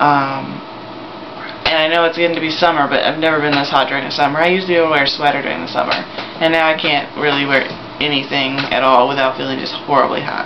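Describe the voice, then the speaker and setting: Over noticeable background noise and audible room echo, a man talks at a fairly quick pace. His fairly high-pitched voice stays monotone and flat. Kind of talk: video diary. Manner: hesitant, many fillers.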